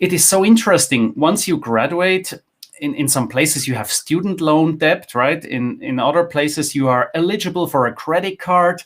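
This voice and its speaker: This man has a plain, everyday voice pitched fairly high. His intonation is lively and his pace moderate. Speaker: finance content creator, former wealth manager. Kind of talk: interview. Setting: live online session.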